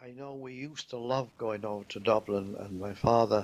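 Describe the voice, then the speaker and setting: The speaker is a man with a medium-pitched voice. He keeps a moderate pace. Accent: Yorkshire. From northern England, Leeds. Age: 80s+. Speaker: war veteran. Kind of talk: life story interview. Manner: halting.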